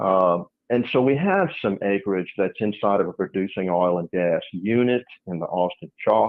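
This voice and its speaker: This man has a normal speaking voice, fairly low in pitch, with ordinary pitch variation at a moderate pace. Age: 60s. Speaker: landowner and businessman. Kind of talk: interview.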